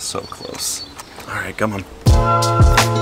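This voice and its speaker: Noticeable background noise accompanies a man speaking in a relaxed tone. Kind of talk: casual vlog monologue. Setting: outdoors in nature park. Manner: soft-spoken, lowered voice; relaxed, hesitant fillers.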